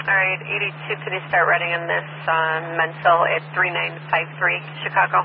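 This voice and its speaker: The sound is dry with no echo, the pace moderate, and noticeable background noise is present. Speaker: police radio dispatcher. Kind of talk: radio dispatch call. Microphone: two way radio.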